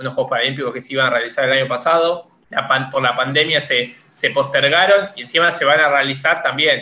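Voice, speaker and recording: Using a plain, everyday voice, a man speaks at a moderate pace with a fairly high pitch and fairly even intonation. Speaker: podcast co-host. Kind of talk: interview.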